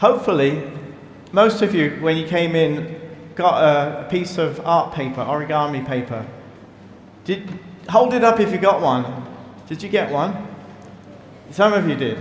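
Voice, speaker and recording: A man with a British accent speaks at a moderate pace in a fairly high voice with lively intonation. Long, frequent pauses break up his speech, and the recording has audible room echo and noticeable background noise. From Britain. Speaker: priest. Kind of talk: sermon. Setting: church. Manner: halting.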